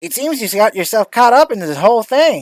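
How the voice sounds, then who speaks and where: This is a put-on character voice with a fairly high pitch. The pace is fairly quick. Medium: actual play. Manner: cryptic, ominous.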